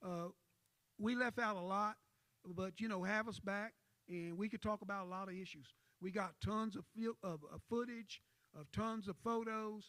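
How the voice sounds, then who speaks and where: A man talks in a high, bright, sharp voice with an animated tone. His pitch varies in an ordinary way, and his pace is moderate. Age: 70s. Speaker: civil rights activist. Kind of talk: panel discussion.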